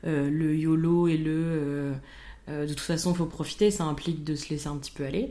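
A woman's very deep, low voice with a dark, mellow tone and audible room echo. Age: 20s. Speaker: podcast co-host. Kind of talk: casual chat.

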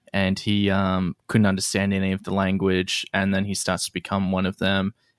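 On a very clean recording with a silent background, a man with an Australian accent speaks in a fairly low pitch. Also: dry, close sound with no echo. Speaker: comedian. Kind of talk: casual chat.

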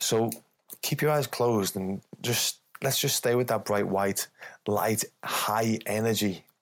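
At a fairly slow pace, a man with an ordinary speaking voice talks at a medium pitch, his intonation fairly even and his loudness very even. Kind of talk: guided meditation.

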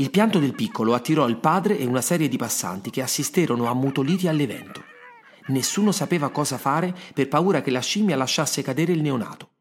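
At a very fast pace, a man speaks with lively intonation and a fairly high pitch. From Rome, Italy. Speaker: writer and podcast narrator, former actor. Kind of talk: scripted storytelling narration.

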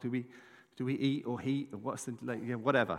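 A man talks at a very fast pace with an English accent. His pitch is medium. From England. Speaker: pastor. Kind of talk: sermon. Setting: church. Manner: animated.

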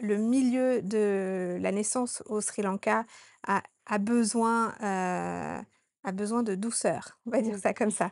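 Against a quiet background, a woman talks with a fairly high pitch and fairly even intonation. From France, Haute-Savoie (Annecy). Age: 30s. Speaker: doula and women's retreat organizer. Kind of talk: interview. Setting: on location in Sri Lanka. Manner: hesitant with fillers.

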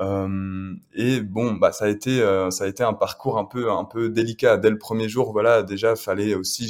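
The intonation stays monotone and flat on a very clean recording with a silent background. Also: man. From France, Le Mans. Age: 20s. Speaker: adventurer. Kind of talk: casual interview.

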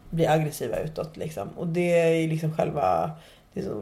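Audible room echo surrounds a woman with a fairly low pitch and a dark, mellow tone. She speaks at a moderate pace with ordinary pitch variation and vocal fry. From Nacka, Stockholm, Sweden. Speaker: podcast host. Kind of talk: casual chat.

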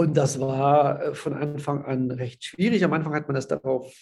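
A man talking at a moderate pace. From Silesia (ethnic German family), moved to Rhineland Germany as a child. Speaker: social pedagogue. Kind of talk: interview. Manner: halting.

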